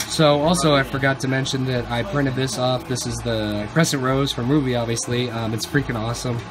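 Against noticeable background noise, a man talks at a fairly quick pace with hardly any pauses and fairly even intonation. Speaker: college vlogger. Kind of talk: casual vlog chat. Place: home room. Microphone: phone near.

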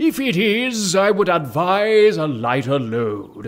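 Pitch swings very widely as this man talks. He goes at a very slow pace. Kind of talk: mock-biblical preaching. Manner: unctuous, sanctimonious.

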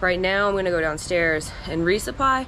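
In an ordinary speaking voice, a woman talks at a fairly quick pace with a fairly low pitch and ordinary pitch variation over light background noise. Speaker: thru-hiker vlogger. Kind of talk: casual vlog chat. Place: home room. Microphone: phone near.

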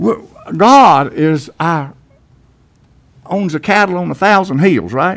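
Against a quiet background, a man with a high pitch speaks in an American accent. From Tennessee, USA. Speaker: pastor giving a sermon. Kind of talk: church sermon. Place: church.

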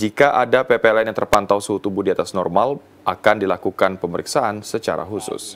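Using a plain, everyday voice, a man speaks at a fairly low pitch with fairly even intonation and a fairly quick pace. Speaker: news presenter. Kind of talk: news reading. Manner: formal; measured, even newsreader delivery.

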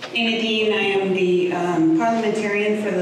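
A woman speaks with monotone, flat intonation. Noticeable background noise and strong room echo fill the recording. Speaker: parliamentarian and attorney. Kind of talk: public comment speech. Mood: firm, defensive. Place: meeting room. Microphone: podium.

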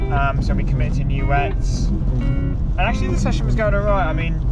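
A man at a moderate pace, dry sound with no echo, loud music playing in the background. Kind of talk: casual vlog chat. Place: car. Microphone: camera far.

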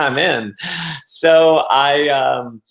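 A man talks with ordinary pitch variation, the background quiet. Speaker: interview guest. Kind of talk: interview answer. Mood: upbeat, laughing storyteller. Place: home room. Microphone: video call.

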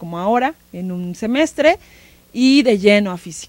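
A woman is heard in a dry sound with no echo. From Mexico, Tlaxcala. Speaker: museum educational curator. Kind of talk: interview. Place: studio. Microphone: handheld.

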